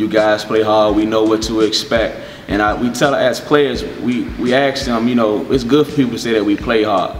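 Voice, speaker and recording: Faint music plays in the background and room echo is audible as a man talks at a moderate pace. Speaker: head basketball coach. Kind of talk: interview answer. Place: hall.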